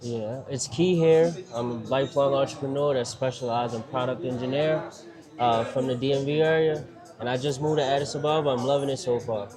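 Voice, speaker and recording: Medium-pitched man with a Baltimore accent, fairly quick pace and fairly even intonation, amid audible room echo and noticeable background noise. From Baltimore, Maryland, US. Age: 30s. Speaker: entrepreneur. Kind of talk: casual interview. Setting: restaurant.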